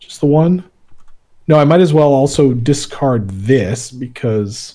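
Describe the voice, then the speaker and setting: A man with a fairly high pitch and a dark, mellow tone speaks at a fairly slow pace, his loudness swinging widely while his pitch varies by an ordinary amount. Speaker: board game player. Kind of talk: casual game play livestream. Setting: livestream with other players. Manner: halting.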